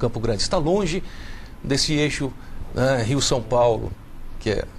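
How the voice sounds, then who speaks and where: A man speaks at a medium pitch and a fairly slow pace, with lively intonation and very even loudness. Audible room echo is present. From Brazil, Minas Gerais (Belo Horizonte). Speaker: children's author and literature teacher. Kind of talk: TV talk show interview.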